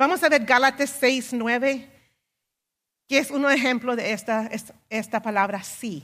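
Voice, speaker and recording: A woman's high pitch and ordinary pitch variation at a fairly slow pace, with long, frequent pauses, in a very clean recording over a silent background. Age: 50s. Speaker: preacher. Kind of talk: sermon.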